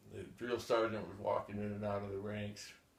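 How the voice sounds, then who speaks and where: A man speaks at a fairly slow pace in a fairly low pitch. Room echo is audible. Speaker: war veteran. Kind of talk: oral history interview. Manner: halting, many repetitions and fillers.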